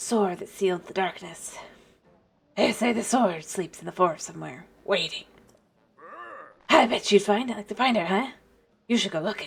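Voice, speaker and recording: In a gruff, put-on character voice that sounds female, the speaker uses a middle pitch and a fairly quick pace. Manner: gravelly, strained.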